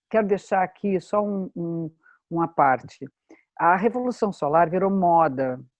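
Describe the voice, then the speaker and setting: With lively intonation, an unremarkable speaking voice proceeds fairly slowly. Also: woman, fairly low pitch for a woman. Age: 60s. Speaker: astrologer. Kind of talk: workshop talk.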